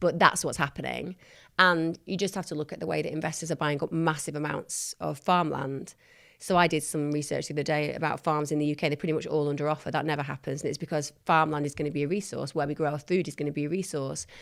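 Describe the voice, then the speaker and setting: Someone speaks at a very fast pace with a northern English accent, in a very clean recording with a silent background. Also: woman, very deep, low pitch for a woman. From northern England. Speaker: psychologist and TV presenter. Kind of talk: casual interview chat. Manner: animated.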